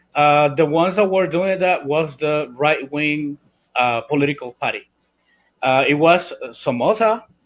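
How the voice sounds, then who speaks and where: At a moderate pace, a man with a Spanish accent speaks in a fairly high pitch with ordinary pitch variation. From Nicaragua, Caribbean coast (Miskito community). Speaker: Sandinista political guest. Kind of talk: podcast interview. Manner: halting, many fillers and restarts.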